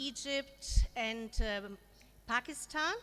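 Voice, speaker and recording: A woman with a German accent speaks in a raised, projected voice. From Germany. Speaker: education consultant. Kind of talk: conference presentation. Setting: forum with audience.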